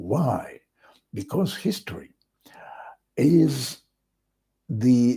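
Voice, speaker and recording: A man speaks very slowly in a fairly high voice with a dark, mellow tone and some breathiness. His pitch swings very widely, broken up by long, frequent pauses. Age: 60s. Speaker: vlogger. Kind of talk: casual monologue.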